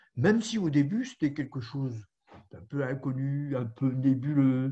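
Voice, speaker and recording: A man's fairly high-pitched, somewhat breathy voice with a dark, mellow tone and big swings in loudness. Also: ordinary pitch variation, fairly slow pace. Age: 70s. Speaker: caregiver and volunteer tutor. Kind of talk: webinar talk. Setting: audio-only video conference.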